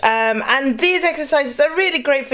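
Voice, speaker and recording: Lively intonation in a British accent at a fairly quick pace. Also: woman. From UK. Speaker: vocal coach. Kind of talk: tutorial. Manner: casual, many fillers.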